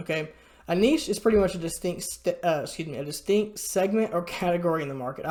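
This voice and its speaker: A woman's put-on character voice, raspy, at a fairly low pitch, with ordinary pitch variation and a very fast pace. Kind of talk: explanatory, online tutorial. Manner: stuttering, hesitant.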